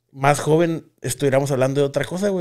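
A man's fairly high-pitched voice, a normal speaking voice, at a fairly quick pace with ordinary pitch variation over a quiet background. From Mexico. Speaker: podcast host. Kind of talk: casual chat. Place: studio. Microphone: studio mic.

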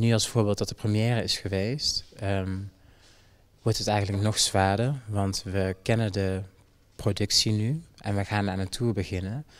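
The man's delivery is fairly slow, and his intonation stays fairly even. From Jamaica. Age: 20s. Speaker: dancer. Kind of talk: interview. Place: hall. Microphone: handheld.

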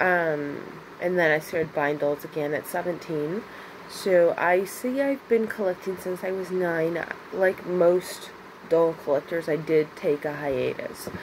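A woman with a normal speaking voice speaks at a fairly low pitch with ordinary pitch variation over light background noise. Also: fairly slow pace. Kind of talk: casual vlog chat. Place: home room. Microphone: phone near.

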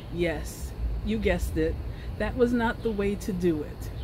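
Fairly slow speech amid noticeable background noise. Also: woman. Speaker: knitting vlogger. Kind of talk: casual vlog chat. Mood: cheerful, humorous. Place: garden. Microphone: phone near.

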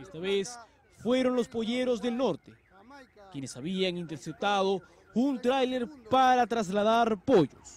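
Taking long, frequent pauses, a man with a high pitch speaks at a fairly slow pace. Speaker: TV news reporter. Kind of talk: news narration.

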